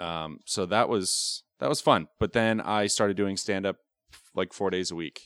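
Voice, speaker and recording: A man with an American accent and a normal speaking voice talks fairly slowly at a fairly low pitch with ordinary pitch variation. The sound is dry and close with no echo, on a very clean recording with a silent background. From northern New York. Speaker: comedian. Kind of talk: casual chat.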